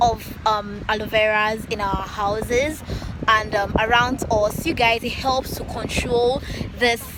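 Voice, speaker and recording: There is noticeable background noise as a woman speaks with a Nigerian accent. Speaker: YouTuber. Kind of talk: vlog outro to camera.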